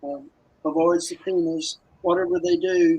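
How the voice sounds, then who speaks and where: The speaker is a man with a high pitch. He talks in a monotone, flat way. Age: 80s+. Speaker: exonerated former prisoner, retired school principal. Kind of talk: interview testimony.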